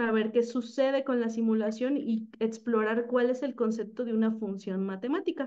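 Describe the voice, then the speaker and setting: Against a quiet background, a woman with a Mexican accent speaks slowly-ish at a fairly high pitch. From Mexico. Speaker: teacher. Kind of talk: presentation. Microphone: video call.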